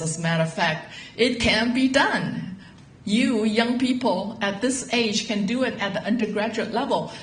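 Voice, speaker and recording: Over noticeable background noise and audible room echo, a woman with a fairly high voice speaks at a fairly slow pace with ordinary pitch variation. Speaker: university professor. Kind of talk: info session presentation.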